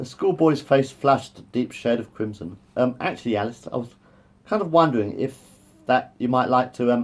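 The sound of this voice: This is an unforced reading voice. It is heard on its own.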